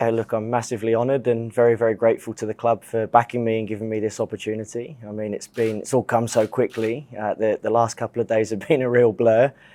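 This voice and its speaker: A man of medium pitch with a dark, mellow tone speaks very fast in a monotone, flat intonation, the sound dry and close with no echo. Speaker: football head coach. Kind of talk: press conference. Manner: halting.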